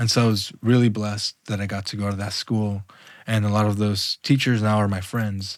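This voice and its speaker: In a Spanish accent, a man with a fairly low pitch speaks in a monotone, flat intonation, in a dry, close sound with no echo. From Los Angeles, US (Mexican immigrant parents). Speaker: visual artist. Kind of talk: casual interview conversation. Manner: casual, halting with fillers.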